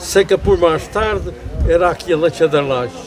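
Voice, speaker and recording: A man talks at a moderate pace with a fairly high pitch and lively intonation, against noticeable background noise. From Azores, Pico island. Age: 80s+. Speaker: elderly islander telling life stories. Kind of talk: interview. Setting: outdoors at a family pig slaughter.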